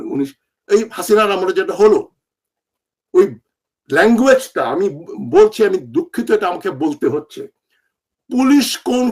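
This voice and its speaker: With an animated tone, a high-pitched man speaks with very wide pitch swings. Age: old. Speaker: political commentator. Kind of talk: political monologue.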